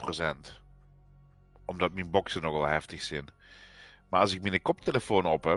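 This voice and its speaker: A man with a Limburg accent and a very deep, low pitch, fairly even intonation and long, frequent pauses, the sound dry and close with no echo, music in the background. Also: moderate pace. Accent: Limburgish dialect. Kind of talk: casual gaming livestream chat.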